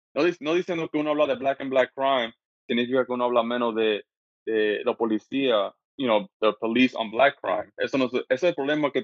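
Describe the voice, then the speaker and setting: At a fairly quick pace, the speech shows ordinary variation in pitch. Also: man, medium pitch for a man. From US Northeast, Brooklyn, New York, Dominican parents. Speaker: podcaster and mental health advocate. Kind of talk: casual interview. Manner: halting, many repetitions and fillers.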